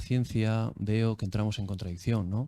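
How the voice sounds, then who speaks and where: A man speaks with a Basque accent at a fairly low pitch. His tone is dark and mellow, with fairly even intonation. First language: Basque (speaking Spanish). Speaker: academic. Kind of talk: audience question at academic talk. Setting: video call. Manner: hesitant, many fillers.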